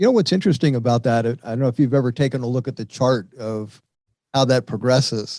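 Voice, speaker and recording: A man's dark, mellow voice carries fairly even intonation. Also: dry, close sound with no echo. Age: 70s. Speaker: radio show host. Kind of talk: interview.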